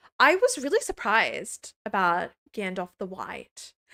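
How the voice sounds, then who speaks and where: A woman with an Australian accent at a fairly slow pace, bright and sharp in tone, dry and close with no echo. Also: very clean recording, silent background. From rural New South Wales, Australia. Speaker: streamer reacting to films. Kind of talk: live stream chat. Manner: stumbles over words; casual, chatty.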